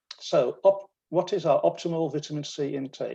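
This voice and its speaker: A man speaks with a British accent. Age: 70s. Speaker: retired dentist. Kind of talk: lecture.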